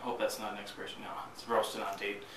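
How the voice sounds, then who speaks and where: The room echo is audible, with noticeable background noise. A man talks at a moderate pace. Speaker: coffee reviewer, video blogger. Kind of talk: casual video review. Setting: recording to camera. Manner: monotone on camera.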